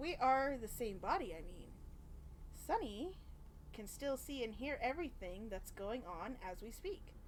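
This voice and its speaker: Putting on a character voice, a woman speaks at a moderate pace in a high pitch, with long, frequent pauses and clear background noise. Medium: game stream. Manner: playful, teasing.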